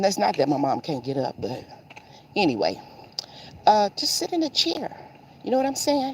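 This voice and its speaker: Amid noticeable background noise, a woman with an American accent talks at a moderate pace with very wide pitch swings. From Seattle, Washington, US. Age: 60s. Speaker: lifestyle vlogger. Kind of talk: casual vlog talk while walking. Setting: outdoors on a morning walk.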